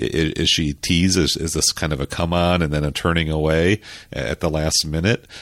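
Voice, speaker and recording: A man speaks in a very deep, low voice with an American accent and fairly even intonation. The sound is dry and close, with no echo. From suburban US. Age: 50s. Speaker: film critic panelist. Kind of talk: casual film discussion.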